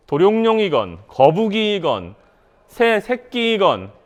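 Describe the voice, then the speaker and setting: The pace is very slow. The background is quiet. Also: man. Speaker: startup founder and professor giving a seminar talk. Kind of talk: seminar lecture. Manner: animated, rhetorical questions.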